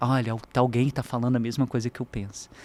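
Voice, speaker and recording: The voice belongs to a man of medium pitch. It sounds dry and close, with no echo. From Brazil, Minas Gerais (Juiz de Fora). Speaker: university professor. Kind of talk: podcast interview.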